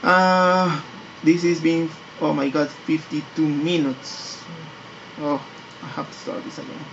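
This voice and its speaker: A fairly slow pace with a non-native accent. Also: man, fairly high pitch for a man. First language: not English. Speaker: 3D graphics tutorial maker. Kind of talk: tutorial. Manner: halting, many repetitions and fillers.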